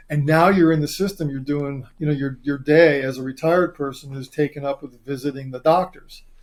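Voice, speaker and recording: The man has an unremarkable speaking voice, fairly high in pitch with fairly even intonation, big swings in loudness and hardly any pauses. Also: fairly quick pace. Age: 60s. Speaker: doctor. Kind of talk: casual chat.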